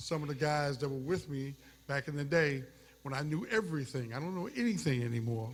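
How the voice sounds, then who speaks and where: Somewhat breathy and fairly high in pitch, a man talks at a fairly quick pace with ordinary pitch variation. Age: 70s. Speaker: retired sportscaster. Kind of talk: award acceptance speech. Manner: halting.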